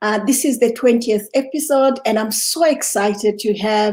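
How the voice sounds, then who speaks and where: A woman with a normal speaking voice talks at a fairly slow pace, her fairly high pitch showing ordinary variation. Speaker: podcast host. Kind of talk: interview questions.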